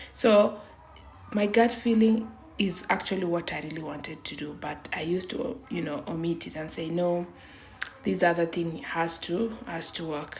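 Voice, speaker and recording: Noticeable background noise sits behind a woman talking at a moderate pace. Her pitch is fairly low, with ordinary variation. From Kenya. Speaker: vlogger. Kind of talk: personal testimony. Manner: halting.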